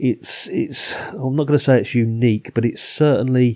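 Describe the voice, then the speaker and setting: A man speaks with an English accent in a dark, mellow tone. His intonation stays fairly even at a moderate pace. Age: 50s. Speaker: film podcast host. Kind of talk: casual chat.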